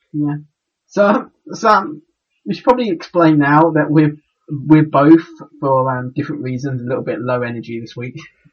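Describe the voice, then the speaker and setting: This man's voice is fairly high in pitch and somewhat breathy. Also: ordinary pitch variation, moderate pace. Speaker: podcast co-host. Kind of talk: casual chat. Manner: halting.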